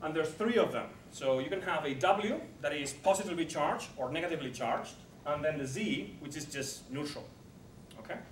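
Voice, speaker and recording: A fairly high-pitched man talks at a fairly quick pace, with audible room echo and noticeable background noise. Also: ordinary pitch variation. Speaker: particle physicist lecturer. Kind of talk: lecture. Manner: fast.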